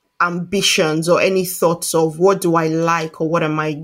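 A woman's fairly low voice at a moderate pace. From Nigeria. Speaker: coach and trainee psychotherapist. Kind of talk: interview.

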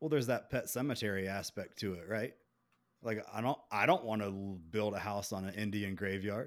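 On a very clean recording with a silent background, a man with a Southern US accent speaks at a fairly low pitch. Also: ordinary pitch variation, moderate pace. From Beaufort, South Carolina. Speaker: podcast host. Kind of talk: casual chat.

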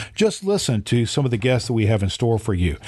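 With an American accent, a man speaks at medium pitch in a somewhat breathy voice. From Indiana, US Midwest. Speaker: pastor and podcast host. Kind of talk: scripted podcast monologue.

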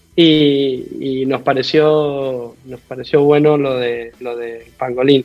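With music in the background, a man with an Argentine accent speaks very slowly at a medium pitch, in a monotone, flat intonation with hardly any pauses and big swings in loudness. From Argentina, Mendoza. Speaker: rugby coach. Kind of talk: interview.

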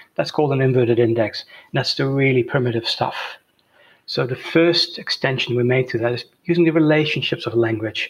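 Speaking with a Dutch accent, a man moves at a fairly quick pace. His voice is somewhat breathy, with ordinary pitch variation. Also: medium pitch for a man. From Netherlands. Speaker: software entrepreneur. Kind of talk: interview. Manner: hesitant, many fillers.

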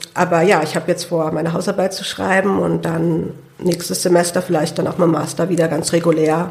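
Against noticeable background noise, a woman talks at a fairly low pitch with monotone, flat intonation. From Hunsrück, Rhineland-Palatinate. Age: 20s. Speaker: lung transplant patient and student. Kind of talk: interview. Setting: studio.

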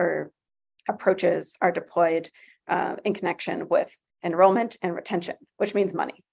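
A woman speaks at a medium pitch. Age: 30s. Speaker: instructional designer and educator. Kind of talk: interview. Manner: halting, many fillers.

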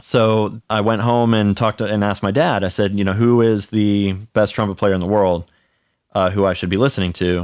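In a normal speaking voice with an American accent, a man talks at a fairly quick pace and fairly low pitch with fairly even intonation, on a very clean recording with a silent background. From US (Cleveland and Charlotte, North Carolina). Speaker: orchestral trumpet player. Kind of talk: casual interview.

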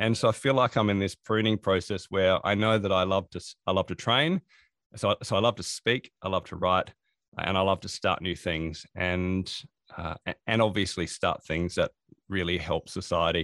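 A man's very deep, low voice with an Australian accent, ordinary pitch variation, a moderate pace and a dry, close sound with no echo. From Australia, Adelaide. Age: 40s. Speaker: productivity consultant and author. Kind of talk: interview. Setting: remote call.

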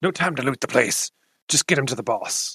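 A man's raspy, fairly quick put-on character voice.

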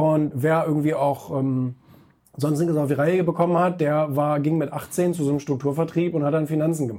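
A man's dark, mellow tone at a fairly high pitch, with fairly even intonation and a moderate pace. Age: 30s. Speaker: magazine publisher and author. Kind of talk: interview.

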